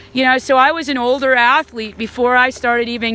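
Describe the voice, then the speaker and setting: A woman's high, bright and sharp voice with an American accent, ordinary pitch variation and a fairly quick pace. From Alabama, Huntsville. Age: 40s. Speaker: whitewater canoe athlete. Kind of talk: casual talk to camera. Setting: outdoors by a river. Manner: animated.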